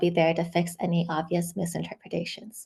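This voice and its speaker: A woman speaks at a fairly quick pace with a fairly low pitch. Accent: Chinese. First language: Chinese. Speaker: software engineer and amateur translator. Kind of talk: academic seminar presentation. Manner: hesitant with frequent um fillers.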